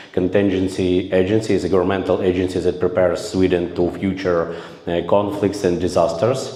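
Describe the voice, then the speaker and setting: A man with a Ukrainian accent talks at a fairly quick pace in a very deep, low pitch with monotone, flat intonation, amid audible room echo and noticeable background noise. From Ukraine. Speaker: volunteer combat medic instructor. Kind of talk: conference presentation. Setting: conference room with audience. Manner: halting, many filler sounds.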